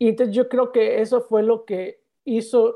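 The man's tone is dark and mellow. The background is quiet. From Yucatán, Mexico (Progreso). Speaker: podcast guest sharing life story. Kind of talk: personal testimony in interview. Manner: halting, repeats words.

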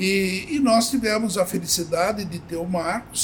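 With noticeable background noise, a man speaks fairly slowly in a high voice with lively intonation. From Brazil, Avaré (São Paulo state interior). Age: 70s. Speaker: company founder. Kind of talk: interview.

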